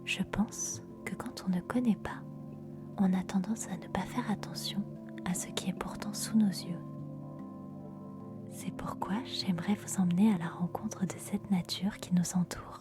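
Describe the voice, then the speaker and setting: Whispering at a fairly slow pace with long, frequent pauses, over music in the background. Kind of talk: ASMR nature narration. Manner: soft-spoken.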